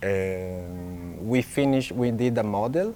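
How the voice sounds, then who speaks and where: Very slowly, a man talks at a fairly low pitch. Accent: Italian. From Italy. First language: Italian. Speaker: illustrator. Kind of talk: festival talk. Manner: halting, many fillers.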